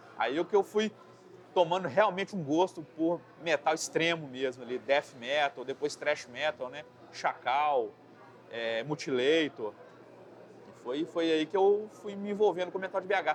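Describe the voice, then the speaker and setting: A man at a fairly high pitch talks at a fairly slow pace, with long, frequent pauses and big swings in loudness. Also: lively intonation. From Brazil, Belo Horizonte. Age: 40s. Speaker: metal vocalist and graphic designer. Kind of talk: interview. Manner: casual, halting with repetitions.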